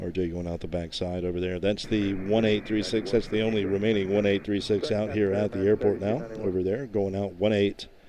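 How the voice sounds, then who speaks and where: A man speaks in a normal speaking voice, fairly low in pitch, with fairly even intonation. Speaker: plane spotting live streamer. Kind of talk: live commentary. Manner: casual, relaxed.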